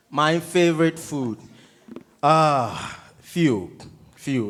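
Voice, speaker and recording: A man with a Ghanaian accent speaks with ordinary pitch variation and long, frequent pauses. Room echo is audible. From coastal Ghana. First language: Ga. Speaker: touring musician. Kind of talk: student Q&A. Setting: theatre stage with audience. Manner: animated.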